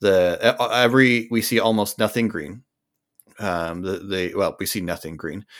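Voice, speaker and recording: In a very clean recording with a silent background, a man's voice comes through. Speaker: podcast co-host. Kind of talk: casual chat.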